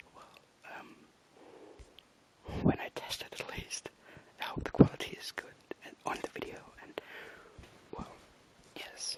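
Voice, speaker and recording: A man whispers in a German accent at a moderate pace, leaving long, frequent pauses. Noticeable background noise runs underneath. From Germany. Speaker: ASMR creator. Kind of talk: reading aloud; casual chat. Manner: whispering; halting.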